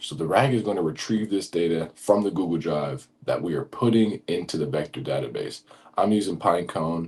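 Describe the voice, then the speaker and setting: A man speaking in an animated tone. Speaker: automation tutorial creator. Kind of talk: tutorial. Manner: fast; casual, animated.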